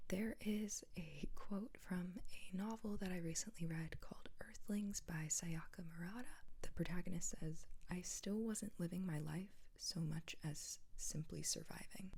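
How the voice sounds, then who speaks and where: Soft-spoken and somewhat breathy, a woman with an American accent speaks in a calm, gentle, dark, mellow tone with ordinary pitch variation. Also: medium pitch for a woman. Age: 20s. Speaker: ASMR and mental health content creator. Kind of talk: soft-spoken ASMR-style educational chat to camera. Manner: soft-spoken, calm, gentle.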